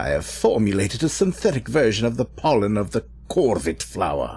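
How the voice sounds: A man does a put-on character voice at a moderate pace, fairly low in pitch with a dark, mellow tone and vocal fry. His pitch swings very widely.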